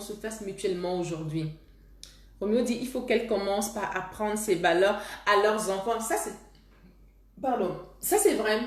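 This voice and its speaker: Over noticeable background noise and audible room echo, the voice moves at a moderate pace with ordinary pitch variation. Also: woman. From Cameroon. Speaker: love coach. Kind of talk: live stream talk with viewers. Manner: halting, with repetitions.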